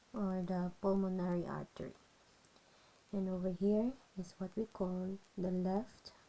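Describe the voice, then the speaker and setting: A woman with a non-native accent and a dark, mellow tone speaks at medium pitch, fairly slowly, in a monotone, flat intonation broken by long, frequent pauses. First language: not English. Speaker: nursing student. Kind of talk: educational tutorial explanation.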